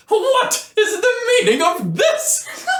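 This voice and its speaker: A man uses a put-on character voice at an extremely high pitch. There is a slight echo. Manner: very angry.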